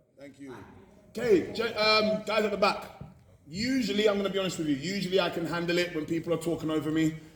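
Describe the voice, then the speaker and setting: Over noticeable background noise, a man with high pitch speaks at a very fast pace, with big swings in loudness and ordinary pitch variation. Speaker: motivational speaker. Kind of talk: motivational talk to students.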